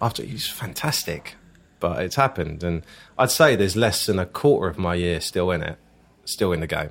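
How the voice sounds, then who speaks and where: A man at a very deep, low pitch and fairly quick pace, with lively intonation, on a very clean recording with a silent background. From Essex, southeast England (Southend, Leigh-on-Sea). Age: 30s. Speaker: actor. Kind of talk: casual chat.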